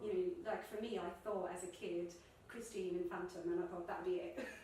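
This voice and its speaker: At a moderate pace, a woman speaks with a medium pitch and fairly even intonation. Noticeable background noise runs beneath her. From Ireland. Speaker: musical theatre performer. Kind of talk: interview answer.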